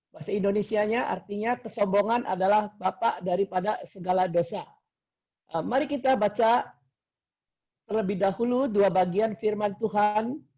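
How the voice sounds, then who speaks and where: This man's voice has a dark, mellow tone and a high pitch. His intonation stays fairly even. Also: moderate pace. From Indonesia, Cirebon (West Java). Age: 70s. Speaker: lay preacher and businessman. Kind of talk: sermon. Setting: video call.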